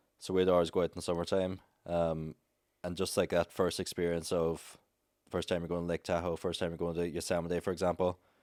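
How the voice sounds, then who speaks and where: Speaking in an Irish accent at a fairly quick pace with monotone, flat intonation, the voice comes through a very clean recording with a silent background and a dry, close sound with no echo. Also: man, very deep, low pitch for a man. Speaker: travel content creator. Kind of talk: casual chat. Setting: studio.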